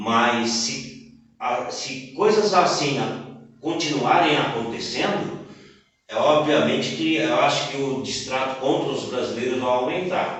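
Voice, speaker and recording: A man's fairly high voice with a Brazilian accent, very slow pace, ordinary pitch variation and audible room echo. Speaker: podcast host. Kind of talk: interview.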